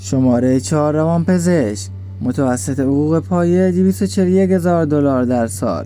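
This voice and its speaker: A man speaks at a moderate pace with lively intonation and a fairly low pitch. His loudness stays very even, with music playing in the background. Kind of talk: fact list narration.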